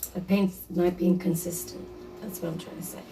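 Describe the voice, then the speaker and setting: A woman's fairly low voice carries monotone, flat intonation amid audible room echo. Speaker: DIY crafter, video creator. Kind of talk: tutorial. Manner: casual, halting with fillers.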